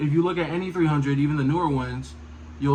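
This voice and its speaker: A man mumbles at a fairly high pitch, with audible room echo around him. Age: young. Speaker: car vlogger. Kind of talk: casual vlog monologue. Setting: walking around, self-filmed. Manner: mumbling; casual, halting with fillers.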